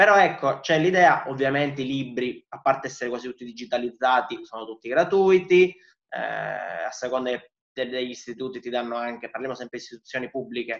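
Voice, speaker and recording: Here a man speaks at a fairly quick pace. His pitch sits in the medium range and varies in an ordinary way. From Sicily (Palermo). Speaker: student organisation activist. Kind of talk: interview, explaining. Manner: hesitant fillers (eh).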